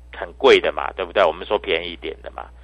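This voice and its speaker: Only a man's voice is heard, over a quiet background. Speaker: stock market analyst. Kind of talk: market commentary and sales pitch. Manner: animated.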